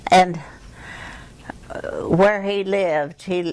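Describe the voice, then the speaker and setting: Here a woman talks at a very slow pace with a Midwestern accent. Her intonation is monotone and flat. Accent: American Midwest. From Kansas City, Missouri. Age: 80s+. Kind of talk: interview answer.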